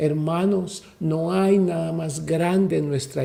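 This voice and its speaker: Dark and mellow in tone, a man speaks at a very slow pace with a high pitch amid audible room echo. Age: 60s. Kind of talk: sermon. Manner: animated.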